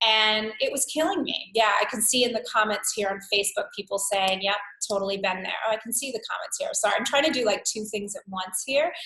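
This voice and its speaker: A woman with a New York accent at a fairly quick pace with hardly any pauses, fairly high in pitch, with ordinary pitch variation. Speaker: wellness coach. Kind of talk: live webinar workshop. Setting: live webcast. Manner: animated.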